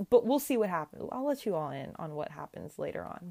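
A woman with an American accent speaks at a fairly quick pace in a dark, mellow tone. The recording is very clean, with a silent background. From US West Coast (Sacramento area, California). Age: 20s. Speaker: pharmacy student, podcast host. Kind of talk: solo monologue podcast.

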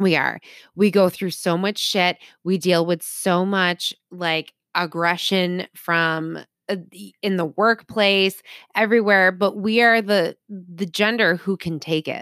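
In a very clean recording with a silent background and a dry, close sound without echo, a woman speaks very slowly. Her medium pitch holds fairly even. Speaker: podcast co-host. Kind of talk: casual chat.

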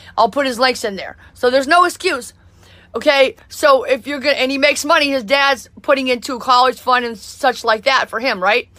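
In a raised, projected voice, a woman speaks with a high pitch and ordinary pitch variation. Her tone is animated, bright and sharp. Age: 40s. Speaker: motivational podcaster and musician. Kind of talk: motivational monologue.

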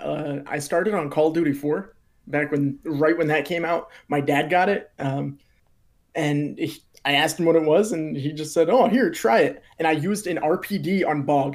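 With an American accent, a man has a plain, everyday voice, fairly high in pitch, with ordinary pitch variation. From Pennsylvania, US. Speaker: YouTuber and gaming content creator. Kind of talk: casual chat.

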